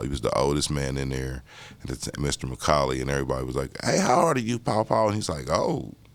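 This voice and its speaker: Amid noticeable background noise, a man with an American accent and a very deep, low pitch talks at a very fast pace with ordinary pitch variation. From Indianapolis, Indiana. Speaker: artist. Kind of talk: interview. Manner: casual, conversational.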